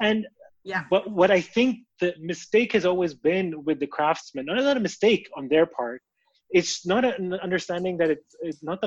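The sound is dry and close with no echo. A high-pitched man speaks at a moderate pace with lively intonation. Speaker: podcast host, venture capital partner. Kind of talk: interview.

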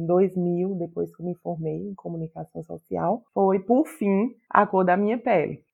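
A woman speaks at a moderate pace. She has a northeastern Brazilian accent. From Paraíba, Campina Grande. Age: 40s. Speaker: writer. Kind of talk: interview.

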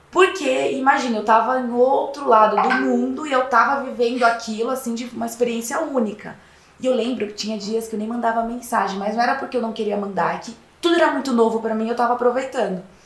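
A woman talks very fast at a fairly high pitch. Noticeable background noise and audible room echo fill the recording. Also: ordinary pitch variation. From interior of São Paulo state (Piracicaba). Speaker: fashion consultant and lecturer. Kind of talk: casual interview.

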